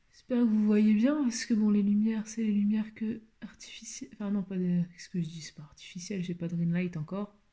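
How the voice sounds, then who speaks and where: A fairly quick pace with hardly any pauses. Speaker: beauty vlogger. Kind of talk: makeup tutorial. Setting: at home, shutters closed. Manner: speaking quietly; halting, many hesitations.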